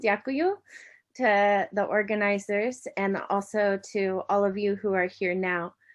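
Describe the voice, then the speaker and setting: Against a quiet background, a woman speaks at a very slow pace with an American accent. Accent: American, noticeable in New Zealand. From United States. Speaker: university lecturer. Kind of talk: academic conference presentation. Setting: online event. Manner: hesitant, with many fillers.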